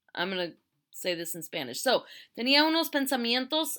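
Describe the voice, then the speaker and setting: A woman's voice with a bright, sharp tone. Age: 60s. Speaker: teacher. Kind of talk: lecture. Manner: casual.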